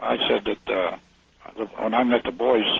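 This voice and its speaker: Noticeable background noise is present. Through it, a man talks. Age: 80s+. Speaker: retired army officer and author. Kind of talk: radio interview.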